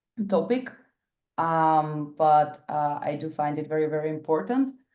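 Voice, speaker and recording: Someone with a Bulgarian accent speaks at a very slow pace. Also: woman. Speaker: workshop facilitator. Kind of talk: workshop presentation. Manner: hesitant, many fillers.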